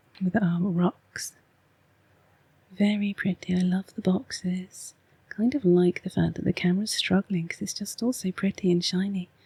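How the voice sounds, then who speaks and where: Her voice is somewhat breathy, with a dark, mellow tone and medium pitch. The woman's intonation is fairly even, and the sound is dry and close with no echo. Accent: English. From England. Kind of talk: ASMR oracle card reading. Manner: soft-spoken, slow.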